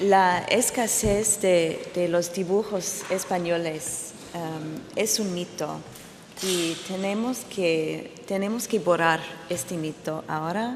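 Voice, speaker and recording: With audible room echo and noticeable background noise, a woman speaks at a very slow pace and a fairly low pitch, with ordinary pitch variation. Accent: English. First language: English (speaking Spanish). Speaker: art historian. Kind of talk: conference talk. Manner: halting.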